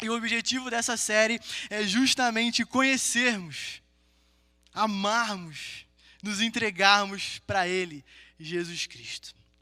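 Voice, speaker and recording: In a very clean recording with a silent background, a man with a Rio de Janeiro accent uses a raised, projected voice, a high pitch and a bright, sharp tone, speaking at a very slow pace with long, frequent pauses. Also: ordinary pitch variation. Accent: carioca (Rio de Janeiro). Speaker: preacher. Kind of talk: sermon. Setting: live-streamed church gathering with audience.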